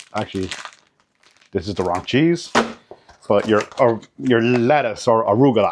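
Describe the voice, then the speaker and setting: This man speaks at a medium pitch. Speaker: food vlogger. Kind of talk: tutorial. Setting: outdoors. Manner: casual, repetitive restarts; fast.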